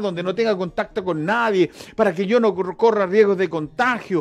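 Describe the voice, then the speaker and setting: A man with a high pitch talks at a moderate pace. His intonation stays fairly even. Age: 60s. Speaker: pastor. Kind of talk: sermon.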